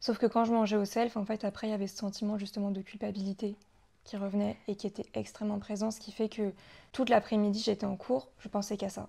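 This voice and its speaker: A somewhat breathy woman's voice at medium pitch, monotone and flat, delivered at a very fast pace. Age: 20s. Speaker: guest sharing recovery from anorexia. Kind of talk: testimony.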